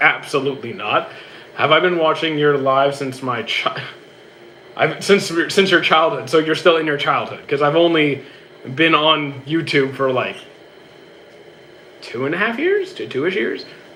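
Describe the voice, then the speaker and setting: With a Canadian accent, a man talks at a moderate pace amid noticeable background noise and audible room echo. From Canada. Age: 30s. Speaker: streamer and gym trainer. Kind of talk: casual live-stream Q&A. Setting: live stream on a treadmill. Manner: stutters, repeats himself.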